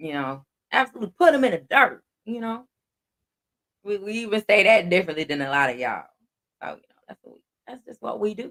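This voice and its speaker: A man's high, raised, projected voice in a Southern US accent, animated in tone, with very wide pitch swings, big swings in loudness, long, frequent pauses and a dry, close sound with no echo. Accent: Southern drawl, country. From Texas. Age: 40s. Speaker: livestream host. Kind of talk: casual livestream chat.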